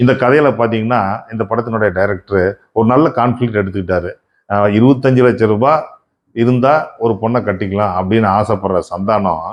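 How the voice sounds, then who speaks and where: A man talks in an ordinary speaking voice. His loudness stays very even. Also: medium pitch for a man, ordinary pitch variation. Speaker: film reviewer. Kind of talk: movie review monologue.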